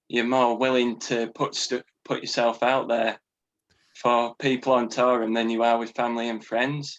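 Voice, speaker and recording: In a Yorkshire accent, a man talks at a moderate pace and medium pitch with flat, monotone intonation. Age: 20s. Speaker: podcast guest, musician. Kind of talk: casual chat.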